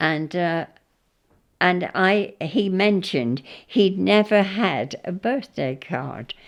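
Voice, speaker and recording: A woman speaks with a southern English accent at a very slow pace. Her intonation is lively. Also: medium pitch for a woman. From southern England, Hampshire. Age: 90s. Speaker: interviewee recalling her life. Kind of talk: oral history interview. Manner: halting, with repeated false starts.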